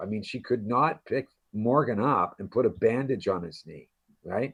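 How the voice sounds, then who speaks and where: Against a quiet background, a man speaks at a moderate pace with a medium pitch and ordinary pitch variation. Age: 60s. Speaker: actor. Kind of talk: interview. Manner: animated; halting.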